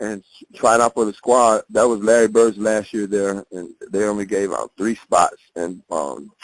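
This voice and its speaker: An unremarkable speaking voice, a man with an American accent, fairly low in pitch, fairly slow yet with hardly any pauses, fairly even in intonation, in a dry, close sound with no echo. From northern Indiana (Hammond). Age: 50s. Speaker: former college basketball player. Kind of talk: oral history interview. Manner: casual.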